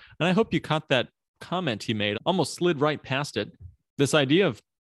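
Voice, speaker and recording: A man with a Midwestern US accent, fairly high-pitched, at a fairly quick pace with lively intonation, against a quiet background. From US Midwest. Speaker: podcast host, financial planner. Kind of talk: interview, conversational podcast.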